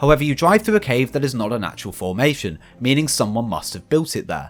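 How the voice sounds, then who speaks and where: A man speaks at a very fast pace with vocal fry and a medium pitch. His pitch swings very widely. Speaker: gaming youtuber. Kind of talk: recap narration. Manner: animated.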